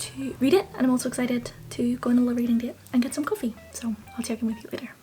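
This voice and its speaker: A woman's fairly high voice at a very fast pace over noticeable background noise. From Northern Ireland. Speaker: book vlogger. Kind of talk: casual vlog. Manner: animated.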